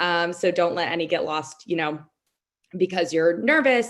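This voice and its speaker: At a moderate pace against a quiet background comes an unremarkable speaking voice. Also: woman. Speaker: lawyer serving as mock trial judge. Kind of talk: spoken feedback to competitors. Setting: video call.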